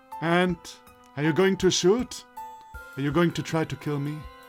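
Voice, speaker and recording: A man uses a put-on character voice that is raspy and fairly high-pitched. He talks at a moderate pace over clear music in the background. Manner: menacing, taunting.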